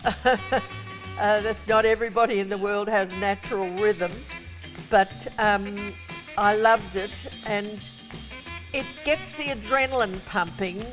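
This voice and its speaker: A woman's voice at medium pitch, fairly slow, with long, frequent pauses, ordinary pitch variation and clear music in the background. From Australia. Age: 80s+. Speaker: performer; guest. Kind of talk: interview answer. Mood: warm, enthusiastic. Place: studio.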